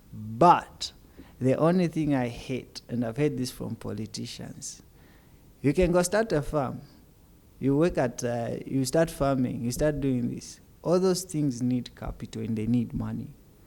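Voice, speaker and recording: A quiet man at a medium pitch and moderate pace, with ordinary pitch variation. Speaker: podcast guest. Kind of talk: casual chat. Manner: soft-spoken; quiet, low volume.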